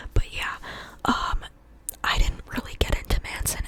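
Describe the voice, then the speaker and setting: A woman whispers at a moderate pace amid noticeable background noise. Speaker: ASMR creator. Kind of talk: ASMR ramble. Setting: bedroom. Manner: whispered.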